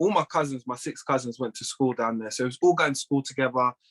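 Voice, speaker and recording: A man speaks with a London accent at a fairly high pitch. The sound is dry and close, with no echo. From North London, England. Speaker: plumbing business owner and former judo athlete. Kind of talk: casual interview chat.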